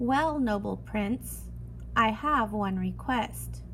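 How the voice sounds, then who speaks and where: Very slow, put-on character voicing against clearly audible background noise. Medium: read story.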